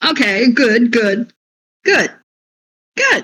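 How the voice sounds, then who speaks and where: This is a put-on character voice. It sits at a fairly high pitch. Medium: actual play. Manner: crude, brash, slangy.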